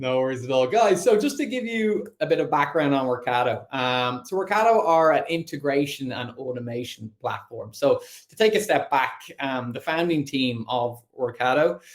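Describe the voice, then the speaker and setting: Using lively intonation and a fairly high pitch, a man with an Irish accent speaks with big swings in loudness and hardly any pauses. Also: moderate pace. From Ireland. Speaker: sales account executive. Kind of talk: online presentation.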